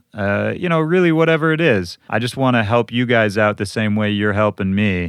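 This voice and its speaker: An unremarkable speaking voice from a man with an American accent, fairly low pitch, lively intonation and a moderate pace. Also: hardly any pauses. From Minnesota, US Midwest. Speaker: podcast host, DJ. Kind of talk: podcast intro monologue. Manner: casual, conversational.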